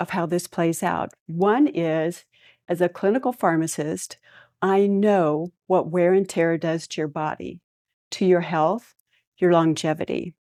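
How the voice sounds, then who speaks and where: In a very clean recording with a silent background, a woman speaks at a fairly low pitch with ordinary pitch variation, the sound dry and close with no echo. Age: 60s. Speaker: clinical pharmacist and tango dancer giving a talk. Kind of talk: motivational talk.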